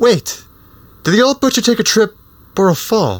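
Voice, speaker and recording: In a put-on character voice, a man talks at a moderate pace with a high pitch. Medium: actual play.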